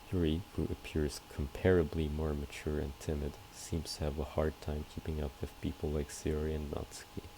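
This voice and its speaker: Speaking at a moderate pace with hardly any pauses, a man has a very deep, low voice. His intonation is monotone and flat. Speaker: gamer. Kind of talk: let's play commentary. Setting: home recording with background noise. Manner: quiet, low volume.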